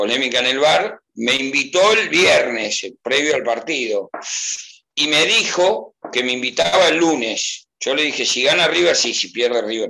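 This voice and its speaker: This man's voice sits fairly high for a man and swings very widely in pitch. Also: fairly slow pace. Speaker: football fan. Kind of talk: casual chat. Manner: animated.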